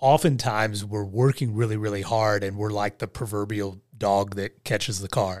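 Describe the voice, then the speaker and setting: Fairly low in pitch, a man speaks at a moderate pace in an unremarkable speaking voice with fairly even intonation. The recording is very clean, with a silent background. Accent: American. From West Virginia / Southern Ohio. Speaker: life and leadership coach, former pastor. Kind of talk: casual interview.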